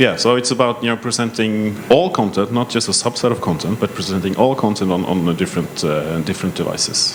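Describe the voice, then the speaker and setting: A man with a Norwegian accent and ordinary pitch variation, over noticeable background noise. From Norway. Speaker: tech company panelist. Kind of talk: panel self-introduction.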